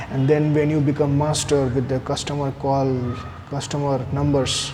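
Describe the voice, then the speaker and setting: A man speaks at a fairly high pitch and moderate pace in a monotone, flat intonation. Noticeable background noise and audible room echo are present. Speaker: person who stammers sharing speech therapy tips. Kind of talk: personal video talk. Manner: hesitant, with fillers and repeated words.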